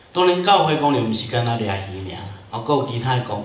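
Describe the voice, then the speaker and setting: With a Taiwanese accent, a man of medium pitch speaks amid audible room echo. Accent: Taiwanese Hokkien. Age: 50s. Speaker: pastor. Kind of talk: lecture. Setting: church. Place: church.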